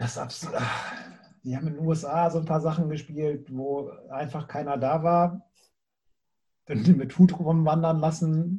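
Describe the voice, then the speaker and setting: Fairly slow and broken by long, frequent pauses, a man's fairly high voice has a dark, mellow tone and fairly even intonation. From Bremen, northern Germany. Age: 40s. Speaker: music booker and former punk drummer. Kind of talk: casual interview.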